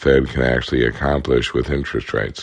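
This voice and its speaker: A man talks with a very deep, low pitch and fairly even intonation. Noticeable background noise runs behind him. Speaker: economist podcast host. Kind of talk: solo explainer podcast. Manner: conversational.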